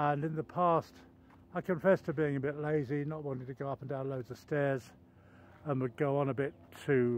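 Speech at a moderate pace comes through dry and echo-free, with light background noise. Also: man. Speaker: walking vlogger. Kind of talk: casual vlog chat. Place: forest. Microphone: phone near.

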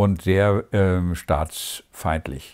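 A man's voice carries a dark, mellow tone over a quiet background. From East Germany. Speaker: former East German dissident, theologian. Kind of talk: interview answer. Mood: calm, reflective. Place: home room.

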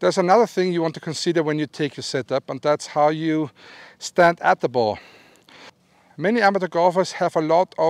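The recording is dry with no echo and a quiet background. A man speaks at a moderate pace in a high voice with ordinary pitch variation. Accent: Austrian. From Austria. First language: German. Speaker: golf instructor. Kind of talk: instructional talk to camera. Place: open country. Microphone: lapel.

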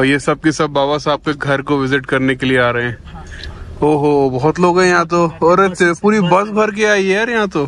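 Lively in intonation, a man talks at a moderate pace and a fairly high pitch. The sound is dry with no echo, with light background noise. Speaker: travel vlogger. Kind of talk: casual vlog talk to camera.

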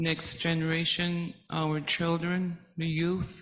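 The speech moves at a very slow pace over a quiet background. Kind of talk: testimony. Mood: emotional, slow. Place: hall. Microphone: handheld.

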